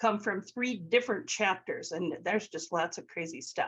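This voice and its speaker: A woman speaks at a moderate pace in a normal speaking voice, her pitch medium. Her intonation is lively against a quiet background. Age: 60s. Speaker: elementary music teacher and author. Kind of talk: webinar presentation. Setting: video call.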